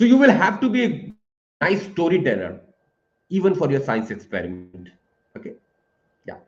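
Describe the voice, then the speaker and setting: A high-pitched man's voice with an Indian accent, very wide pitch swings, long, frequent pauses and audible room echo. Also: moderate pace, big swings in loudness. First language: Hindi. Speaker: professor. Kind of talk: webinar Q&A. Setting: live online webinar. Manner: hesitant, many fillers.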